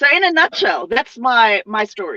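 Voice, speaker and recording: A woman's raised, projected voice, bright and sharp, with very wide pitch swings at a fairly slow pace and a dry, close sound with no echo. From Zimbabwe. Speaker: overland traveller. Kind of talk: interview storytelling. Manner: halting.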